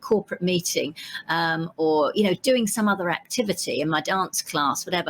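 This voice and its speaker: In a Cockney accent, a woman talks at a fairly quick pace and medium pitch, with a dry, close sound with no echo. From East End of London, England. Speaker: vegan entrepreneur and storytelling consultant. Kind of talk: podcast interview. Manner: conversational with frequent fillers.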